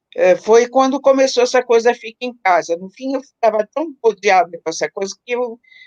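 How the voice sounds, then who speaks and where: A woman with a normal speaking voice talks at a moderate pace and a fairly high pitch, with lively intonation, big swings in loudness and hardly any pauses, the sound dry and close with no echo. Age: 60s. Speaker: psychologist, author of the book preface. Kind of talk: live-stream conversation.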